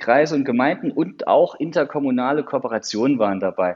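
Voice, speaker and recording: A man's fairly high voice with vocal fry, very wide pitch swings and a moderate pace. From Saarland, Germany. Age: 30s. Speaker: county digital officer. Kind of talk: interview. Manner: hesitant, many fillers.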